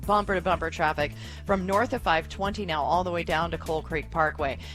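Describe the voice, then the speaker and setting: Music sits in the background. A woman talks at a very fast pace. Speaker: radio traffic reporter. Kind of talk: traffic report.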